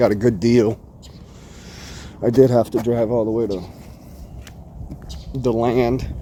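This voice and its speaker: Long, frequent pauses mark a man's monotone, flat delivery over noticeable background noise. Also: medium pitch for a man, fairly slow pace. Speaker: pressure washing business owner and vlogger. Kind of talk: casual vlog walkthrough. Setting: outdoors at a customer's yard.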